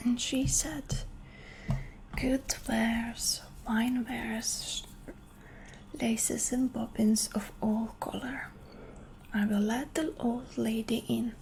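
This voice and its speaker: A woman's fairly high, gentle voice at a very slow pace, with fairly even intonation, long, frequent pauses and noticeable background noise. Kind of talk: ASMR bedtime story reading. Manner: soft, slow, gentle.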